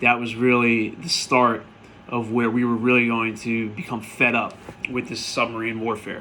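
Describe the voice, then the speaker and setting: Audible room echo follows a man with an American accent who talks at a fairly quick pace. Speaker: history teacher. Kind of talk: recap lecture to students. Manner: casual, conversational.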